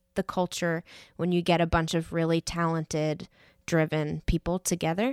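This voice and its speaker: A woman's plain, everyday voice with an American accent, fairly low in pitch and moderate in pace, dry and close with no echo, on a very clean recording with a silent background. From New York. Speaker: worship team member and photographer leading a church workshop. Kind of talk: interview.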